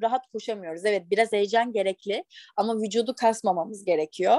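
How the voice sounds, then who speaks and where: In an unremarkable speaking voice, someone talks at a moderate pace with ordinary pitch variation, the sound dry and close with no echo. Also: woman. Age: 20s. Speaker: national athlete. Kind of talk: interview.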